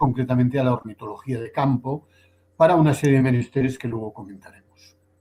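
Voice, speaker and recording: A dark, mellow tone marks this voice. It is also somewhat breathy. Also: man. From Spain, Barcelona. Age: 70s. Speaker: poet and ornithologist. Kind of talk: online literary conversation.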